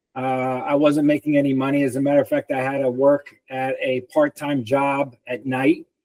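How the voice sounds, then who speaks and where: A man talks at a moderate pace with hardly any pauses, his pitch fairly high and his intonation monotone and flat. The sound is dry and close, with no echo. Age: 60s. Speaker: personal trainer and author. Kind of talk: interview.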